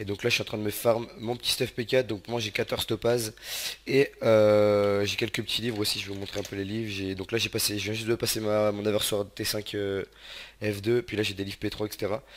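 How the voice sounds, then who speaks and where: Speaking fairly quickly, a man with a fairly low voice keeps his intonation monotone and flat. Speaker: gaming youtuber. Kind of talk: let's play commentary. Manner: casual, many filler words.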